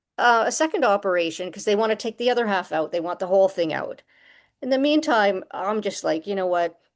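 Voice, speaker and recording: A woman with a Canadian accent speaks at a medium pitch and a fairly quick pace with lively intonation. It is an ordinary speaking voice against a quiet background. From Canada, Toronto. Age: 60s. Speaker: musician and author. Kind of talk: testimony.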